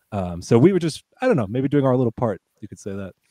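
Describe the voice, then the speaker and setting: This man's voice has a dark, mellow tone. The sound is dry and close, with no echo. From United States. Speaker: podcaster. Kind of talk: casual chat.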